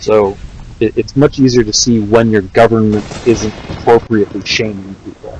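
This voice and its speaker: Soft-spoken and at a medium pitch, a man speaks at a moderate pace with monotone, flat intonation over noticeable background noise. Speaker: gaming streamer. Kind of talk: casual livestream chat.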